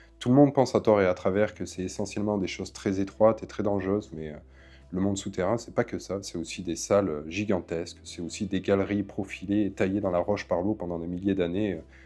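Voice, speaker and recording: A man talks at a fairly quick pace with fairly low pitch and fairly even intonation. Music plays behind him. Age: 20s. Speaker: caver and documentary maker. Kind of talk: documentary interview.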